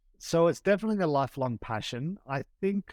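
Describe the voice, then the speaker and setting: On a very clean recording with a silent background, a man with an Australian accent speaks at a moderate pace with very wide pitch swings. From Australia, Sydney. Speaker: tour operator, former lawyer. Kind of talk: podcast interview.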